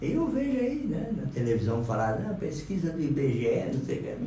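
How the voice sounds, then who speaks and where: A man's voice swings very widely in pitch, with noticeable background noise and audible room echo. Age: 60s. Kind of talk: casual chat on radio.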